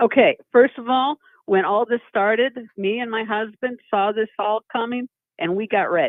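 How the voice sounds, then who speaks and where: A woman's unremarkable speaking voice, fairly high in pitch with ordinary pitch variation, at a moderate pace. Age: 50s. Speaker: caller. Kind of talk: call-in conversation.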